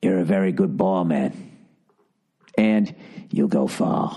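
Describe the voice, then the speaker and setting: A man uses a put-on character voice. It is very deep and low in pitch, at a fairly slow pace. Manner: creepy, gushing.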